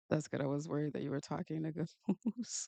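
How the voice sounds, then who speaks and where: A woman speaks with an American accent. The sound is dry and close with no echo. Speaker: manga artist and streamer. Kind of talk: casual live stream chat while drawing. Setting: live stream, home studio. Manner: casual, chatty.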